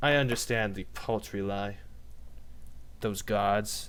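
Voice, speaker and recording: A man puts on a character voice. The voice sits at a fairly low pitch. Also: fairly slow pace. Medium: actual play. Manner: measured, menacing.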